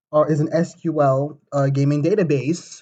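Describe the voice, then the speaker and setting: The voice belongs to a man and sits fairly high in pitch. It sounds somewhat breathy. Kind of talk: informal presentation. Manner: halting, many fillers.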